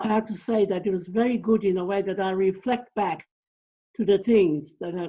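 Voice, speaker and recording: Her tone is dark and mellow, set at a medium pitch for a woman. She talks at a fairly quick pace with fairly even intonation. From Torres Strait Islands, Australia. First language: Torres Strait Islander language. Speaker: community elder and counsellor. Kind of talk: interview conversation. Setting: video call. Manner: halting, many fillers.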